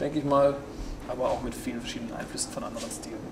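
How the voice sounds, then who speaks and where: Over noticeable background noise, the speaker talks at a very fast pace with fairly even intonation. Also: man. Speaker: singer-songwriter; interviewee. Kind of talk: interview. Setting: backstage before a concert. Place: stage.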